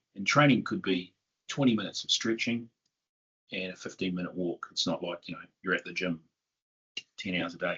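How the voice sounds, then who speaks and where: A man with a New Zealand accent speaks in a fairly low pitch with ordinary pitch variation. His pace is fairly quick, broken by long, frequent pauses. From southern New Zealand. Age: 50s. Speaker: tech company CEO. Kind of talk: interview.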